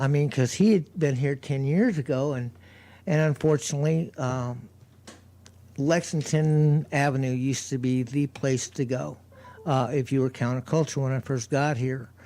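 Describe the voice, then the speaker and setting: In an American accent, a man talks at a moderate pace with fairly even intonation. His voice is fairly high in pitch, with a dark, mellow tone. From US South. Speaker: street preacher. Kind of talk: radio interview. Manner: halting.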